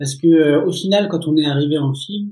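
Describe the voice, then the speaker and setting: A man speaks at a moderate pace in a somewhat breathy voice. His pitch varies in an ordinary way. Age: 30s. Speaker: photographer and journalist. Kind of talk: casual chat.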